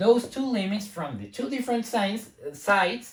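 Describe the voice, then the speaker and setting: Somewhat breathy and with a non-native accent, a woman talks at a fairly slow pace with ordinary pitch variation. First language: not English. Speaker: math teacher. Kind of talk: lecture. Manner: hesitant, many fillers.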